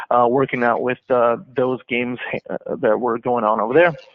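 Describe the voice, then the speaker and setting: Flat and monotone, a man with an American accent speaks at a fairly quick pace and medium pitch. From New York. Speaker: sports ticket sales professional. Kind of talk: interview. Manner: halting, many fillers.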